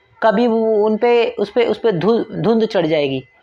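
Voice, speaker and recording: This man talks at a fairly slow pace with a high pitch and ordinary pitch variation. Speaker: YouTuber, motivational talker. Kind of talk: motivational monologue. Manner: hesitant, with filler sounds.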